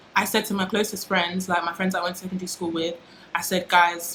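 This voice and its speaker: A woman's fairly low, monotone voice with flat intonation, over noticeable background noise. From UK. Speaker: YouTuber. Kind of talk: casual vlog monologue.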